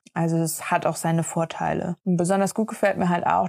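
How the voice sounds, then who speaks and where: A woman with an unremarkable speaking voice at fairly low pitch, at a moderate pace, in a dry, close sound with no echo. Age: 30s. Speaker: sailing podcast co-host. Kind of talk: casual chat.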